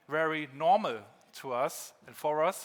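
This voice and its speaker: This is a man speaking. He has a German accent. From northern Germany, Rostock. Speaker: keynote speaker, former rapper. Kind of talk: keynote talk. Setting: conference stage with audience.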